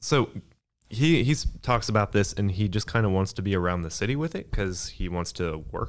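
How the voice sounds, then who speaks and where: Fairly low-pitched male speech in a normal speaking voice, moderately paced with lively intonation, in a very clean recording with a silent background. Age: 20s. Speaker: podcast co-host. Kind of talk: casual chat.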